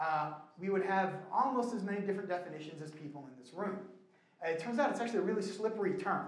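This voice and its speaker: A man's voice with very wide pitch swings and audible room echo. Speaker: church minister teaching a class. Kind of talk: lecture. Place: hall.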